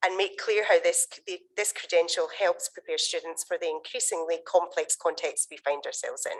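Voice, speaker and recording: A woman with a Scottish accent speaks at a moderate pace with hardly any pauses and big swings in loudness. The sound is dry and close, with no echo. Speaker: conference session chair. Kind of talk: conference introduction.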